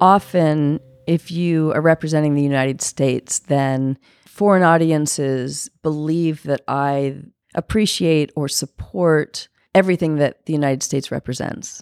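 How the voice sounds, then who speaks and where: In an American accent, a woman with a very deep, low pitch talks at a fairly slow pace with fairly even intonation, the sound dry and close with no echo. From California. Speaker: documentary filmmaker. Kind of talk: interview storytelling. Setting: on location at a festival.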